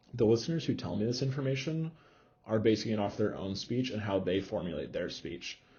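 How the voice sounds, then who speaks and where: A somewhat breathy voice with lively intonation. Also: man, fairly low pitch for a man. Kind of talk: lecture. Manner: fast.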